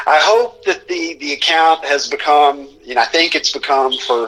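At a fairly slow pace, a man talks in an unremarkable speaking voice, fairly high in pitch with ordinary pitch variation. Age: 40s. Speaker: sports social media personality. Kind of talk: casual interview.

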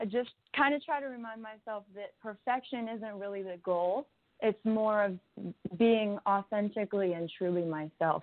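In an American accent, a woman speaks at a moderate pace with a medium pitch and a plain, everyday voice. Her pitch varies in an ordinary way while her loudness swings widely. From US Midwest. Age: 20s. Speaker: singer-songwriter. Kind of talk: casual interview. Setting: radio interview.

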